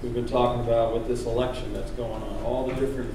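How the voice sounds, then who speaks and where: A male voice with audible room echo and noticeable background noise. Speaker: pastor. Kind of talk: sermon. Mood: calm, conversational. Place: church. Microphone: podium.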